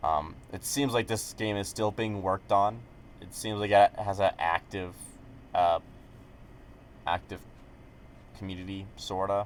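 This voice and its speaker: Mumbling with long, frequent pauses, a man speaks at a fairly low pitch with fairly even intonation. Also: big swings in loudness. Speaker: gaming YouTuber. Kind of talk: casual commentary video. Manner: hesitant, many fillers.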